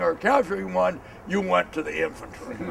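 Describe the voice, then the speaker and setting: A man speaks at a fairly quick pace with an American accent. Noticeable background noise sits behind him. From Montana, USA. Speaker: historian. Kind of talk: history tour talk. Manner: dynamic.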